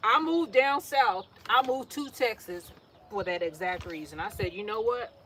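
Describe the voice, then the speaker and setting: A woman with an American accent speaks at a moderate pace and a fairly high pitch. Her pitch swings very wide and her loudness swings a lot, over noticeable background noise. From New York City. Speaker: gardening vlogger. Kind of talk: casual monologue while potting plants.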